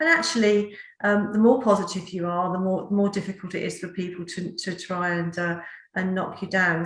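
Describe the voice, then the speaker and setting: In a Norfolk accent, a woman speaks at medium pitch and a moderate pace with monotone, flat intonation. Her voice is somewhat breathy, and the room echo is audible. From England, Norfolk. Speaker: talk show host. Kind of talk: interview.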